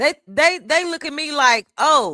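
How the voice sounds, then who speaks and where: Using a raised, projected voice, a woman speaks at a fairly slow pace, her tone bright and sharp and her pitch high. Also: dry, close sound with no echo. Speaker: streamer. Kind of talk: heated debate. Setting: live stream panel. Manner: repetitive, stammering.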